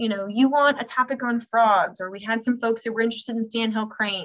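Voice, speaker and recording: Talking at a very fast pace, a woman uses a fairly high pitch. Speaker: environmental education program staff presenter. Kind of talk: webinar presentation.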